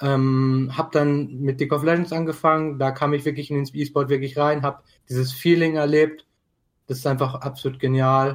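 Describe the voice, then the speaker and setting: A man's fairly high voice in flat, monotone intonation, on a very clean recording with a silent background. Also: moderate pace. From Germany, Dortmund. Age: 20s. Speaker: esports club co-founder. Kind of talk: casual chat.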